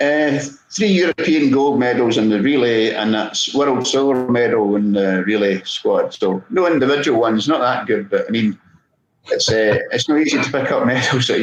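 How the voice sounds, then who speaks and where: A man with a Scottish accent speaks at a moderate pace in a medium pitch. His pitch varies in an ordinary way, and his loudness stays very even. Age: 60s. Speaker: podiatrist and masters sprinter. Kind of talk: casual interview.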